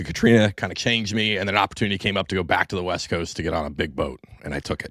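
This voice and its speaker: Speaking with an American accent, a man goes at a very fast pace with ordinary pitch variation. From US Pacific Northwest, Tacoma/Everett. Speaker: Coast Guard veteran. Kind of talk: casual chat.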